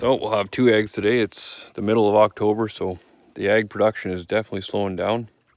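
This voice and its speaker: A man speaks very fast at a fairly low pitch. His intonation stays monotone and flat. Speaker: small farmer, homesteader. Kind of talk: casual vlog tour. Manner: halting, with fillers.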